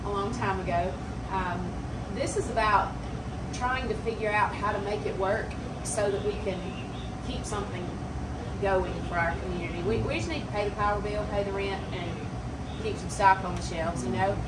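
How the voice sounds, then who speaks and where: Loud background noise surrounds a woman speaking at a moderate pace with long, frequent pauses. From Alabama, Marengo County. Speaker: country store owner. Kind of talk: interview. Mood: earnest, heartfelt. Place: shop. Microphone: camera far.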